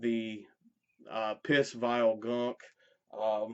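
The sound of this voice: A man speaks with a clear, smooth tone at a fairly low pitch, with little pitch movement.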